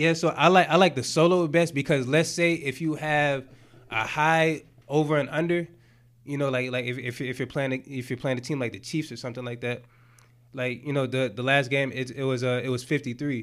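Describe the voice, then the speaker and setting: On a very clean recording with a silent background, a man with an American accent speaks at a fairly quick pace in a plain, everyday voice, fairly high in pitch with fairly even intonation. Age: 30s. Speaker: sports bettor. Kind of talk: casual chat.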